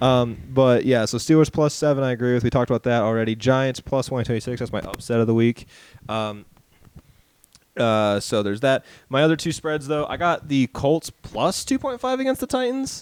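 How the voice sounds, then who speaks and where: At a fairly quick pace, a man speaks at a medium pitch with ordinary pitch variation, the sound dry and close with no echo. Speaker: sports podcast co-host. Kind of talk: casual chat. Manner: loud.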